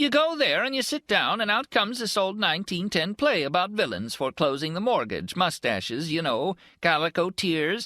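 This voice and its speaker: A man's put-on, whiny character voice, high in pitch, at a moderate pace, on a very clean recording with a silent background. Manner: tired.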